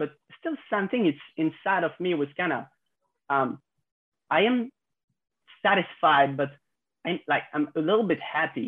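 With a French accent, a man speaks at a moderate pace with ordinary pitch variation. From France. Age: 20s. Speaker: content creator. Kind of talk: casual chat. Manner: halting.

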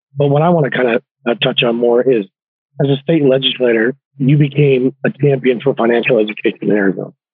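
A man of medium pitch races along at a very fast pace. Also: ordinary pitch variation, very even loudness. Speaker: podcast host. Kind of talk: interview.

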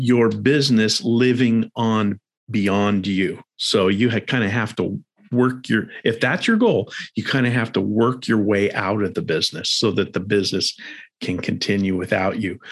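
In a plain, everyday voice, a man with an American accent speaks at a fairly slow pace, fairly low in pitch with fairly even intonation, against a quiet background. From Arizona, US. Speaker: personal finance podcast host. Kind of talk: interview conversation.

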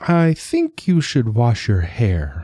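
A man puts on a character voice at a medium pitch. His pitch swings very widely. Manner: gentle.

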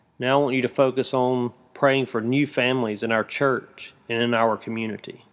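A man speaks at medium pitch with monotone, flat intonation. The recording is very clean, with a silent background. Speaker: prayer guide teacher. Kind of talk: guided intercessory prayer, instructive.

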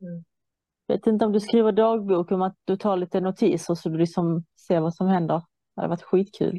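A woman's dark, mellow voice at a medium pitch, fairly quick in pace with fairly even intonation, the sound dry and close with no echo over a quiet background. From Iran. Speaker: guest in conversation. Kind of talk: casual chat.

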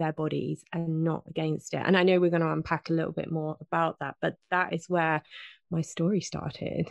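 With a British accent and a fairly low pitch, a woman speaks at a moderate pace with fairly even intonation, her voice dry and close with no echo against a quiet background. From southern England. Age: 40s. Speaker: health and fitness coach. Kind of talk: interview.

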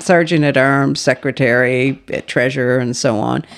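A woman's very deep, low pitch carries vocal fry at a moderate pace. The recording is very clean, with a silent background. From Nova Scotia, Canada. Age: 60s. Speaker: magazine publisher and editor. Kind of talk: casual chat.

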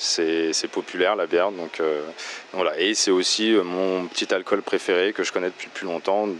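Noticeable background noise sits behind a man with a very deep, low voice. He speaks in a flat monotone at a fairly slow pace. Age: 30s. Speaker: beer shop owner. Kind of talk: interview. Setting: in his shop. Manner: hesitant with fillers.

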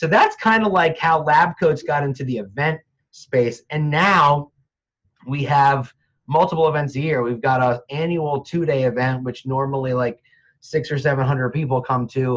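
A somewhat breathy man with an American accent, fairly high pitch, ordinary pitch variation and a moderate pace. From New Jersey (Montclair). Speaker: real estate agent and industry trainer. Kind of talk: casual interview.

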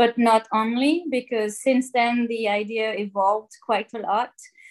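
A French accent against a quiet background. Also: woman. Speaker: marine plastic pollution scientist. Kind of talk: interview. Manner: hesitant, many fillers.

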